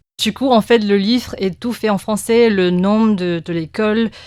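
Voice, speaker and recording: A woman speaks with a Chinese accent on a very clean recording with a silent background. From Taiwan. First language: Mandarin (speaking French). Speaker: press cartoonist. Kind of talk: interview. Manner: halting, many hesitations and repetitions.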